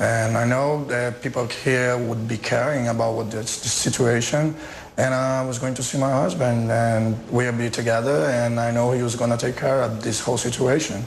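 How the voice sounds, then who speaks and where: A man with a Portuguese accent talks at a medium pitch and a moderate pace, with fairly even intonation and hardly any pauses. There is noticeable background noise and audible room echo. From Brazil. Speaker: journalist's partner. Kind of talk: TV interview.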